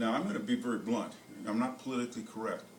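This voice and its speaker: A man with an American accent speaks at a fairly quick pace. Audible room echo and noticeable background noise fill the recording. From United States. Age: 70s. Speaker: motivational speaker. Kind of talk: motivational talk. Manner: halting, repeats words.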